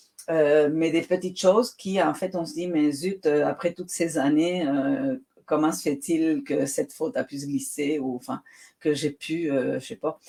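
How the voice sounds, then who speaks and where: This woman's voice sits fairly low in pitch and has a dark, mellow tone. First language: Spanish (speaking French). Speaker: writer. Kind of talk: interview.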